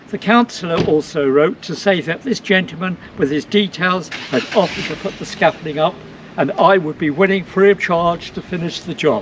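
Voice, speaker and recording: Over noticeable background noise, a man talks at a moderate pace. His pitch is high, with ordinary variation. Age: old. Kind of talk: interview answer.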